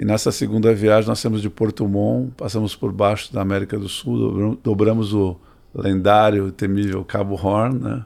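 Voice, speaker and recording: An unremarkable speaking voice, a man's at a fairly low pitch, moderate in pace, with fairly even intonation. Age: 60s. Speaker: sailor and entrepreneur. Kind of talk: interview conversation.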